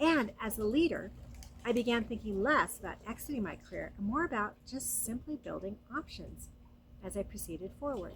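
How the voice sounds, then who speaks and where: A woman's fairly high, warm voice with vocal fry, lively intonation and a moderate pace. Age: 60s. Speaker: lifestyle vlogger. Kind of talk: casual monologue. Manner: warm, conversational.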